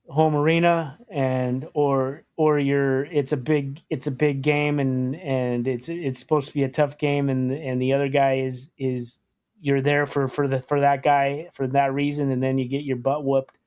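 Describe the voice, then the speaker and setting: A man with an American accent, a fairly high voice, flat monotone intonation and a moderate pace. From US Pacific Northwest, Portland, Oregon. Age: 50s. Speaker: podcast host, hockey fan. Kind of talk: casual chat.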